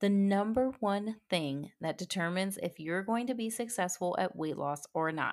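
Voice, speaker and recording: A woman with an unremarkable speaking voice talks at a moderate pace with lively intonation, in a very clean recording with a silent background. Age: 30s. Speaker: fitness podcast host and health coach. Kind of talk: solo podcast talk on fitness mindset. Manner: casual and conversational.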